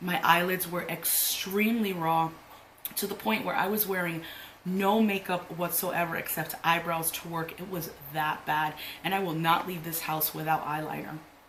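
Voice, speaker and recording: A woman speaks at a moderate pace with fairly even intonation. Noticeable background noise and audible room echo fill the recording. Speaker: beauty youtuber. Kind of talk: makeup tutorial chat. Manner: casual, filler-heavy.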